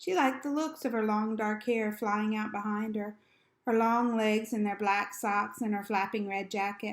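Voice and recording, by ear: Here, a passage is read aloud in a natural voice.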